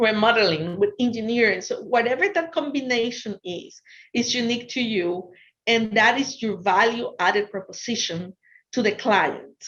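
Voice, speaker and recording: Against a quiet background, a woman talks at a moderate pace in a Spanish accent. Her pitch is fairly high and her intonation lively. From Ecuador. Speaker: business consultant. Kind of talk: lecture. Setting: virtual talk.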